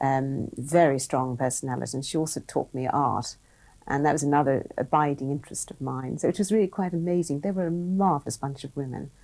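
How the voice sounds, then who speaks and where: Recorded very cleanly against a silent background, a woman talks at a fairly quick pace in a very deep, low pitch with a dark, mellow tone and ordinary pitch variation. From Ireland. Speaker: business executive. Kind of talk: interview.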